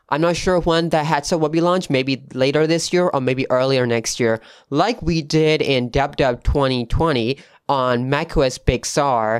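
A man with a non-native accent talks at a fairly slow pace with a fairly high pitch and ordinary pitch variation. His loudness is very even against a quiet background. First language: not English. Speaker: tech podcast host. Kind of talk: solo tech news podcast. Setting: home studio with new mic. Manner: casual, with fillers.

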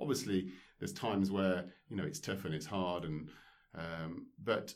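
At a fairly slow pace, a man speaks with a very deep, low pitch. His pitch varies in an ordinary way. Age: 40s. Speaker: former professional squash player. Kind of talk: casual interview. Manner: hesitant, many fillers.

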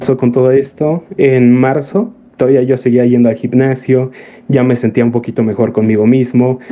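A man speaks with a Mexican accent at a moderate pace, his intonation fairly even. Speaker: streamer. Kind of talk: casual chat. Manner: usually quiet, reserved talker.

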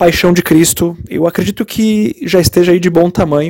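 A man's plain, everyday voice at a moderate pace, ordinary pitch variation, and a dry, close sound with no echo. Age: 30s. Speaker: rock musician. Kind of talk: interview answers. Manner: many fillers and repetitions.

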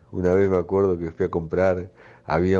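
This man's voice is very deep and low, dark and mellow in tone, and he speaks at a moderate pace. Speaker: local resident sharing memories. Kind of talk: recorded personal reminiscence.

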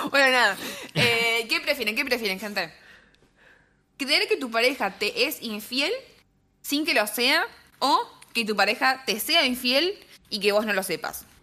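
Speaking at a fairly slow pace, a woman pauses long and often. Her high pitch has a bright, sharp tone and lively intonation. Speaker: podcast co-host. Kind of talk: casual chat. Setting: live stream.

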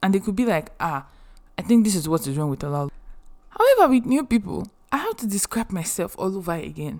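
A woman speaks at a fairly quick pace and medium pitch. Her tone is animated, with very wide pitch swings. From Nigeria. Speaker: podcast host. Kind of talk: casual monologue.

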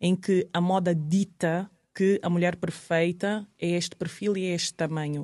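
In a fairly low pitch, a woman talks at a fairly slow pace with a monotone, flat intonation. The recording is very clean, with a silent background. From Angola. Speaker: model and TV presenter. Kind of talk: podcast interview. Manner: hesitant, many repetitions.

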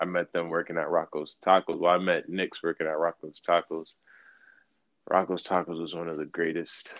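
With an American accent, a man speaks at a very deep, low pitch, a fairly quick pace and a monotone, flat intonation. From Brooklyn, New York. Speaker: rapper. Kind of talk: casual interview. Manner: nonchalant, laid-back.

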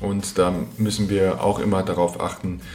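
A man speaks at a fairly slow pace in a very deep, low voice with ordinary pitch variation, with audible room echo and noticeable background noise. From Germany, Frankfurt am Main. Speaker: athletic trainer and podcast host. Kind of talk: solo educational monologue.

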